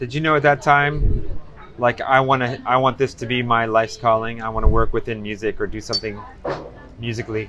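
There is noticeable background noise. A man speaks at a fairly quick pace with a medium pitch. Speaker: podcast host. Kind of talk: casual interview.

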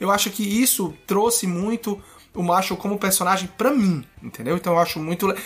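A man speaks fairly quickly. His pitch variation is ordinary. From Ceará, northeast Brazil. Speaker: podcast guest. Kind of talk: casual chat.

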